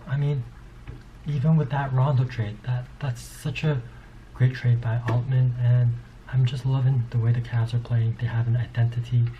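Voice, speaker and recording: A man's medium-pitched, somewhat breathy voice with a dark, mellow tone. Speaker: sports commentator. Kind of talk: casual monologue. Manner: fast; animated.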